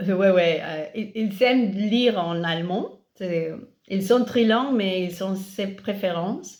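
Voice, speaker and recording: A woman's very slow speech at medium pitch, with ordinary pitch variation and audible room echo. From Catalonia, Spain. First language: Catalan and Spanish (speaking French). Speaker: parent of multilingual children. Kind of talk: interview on a live stream. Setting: Instagram live video stream. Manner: halting, many hesitations.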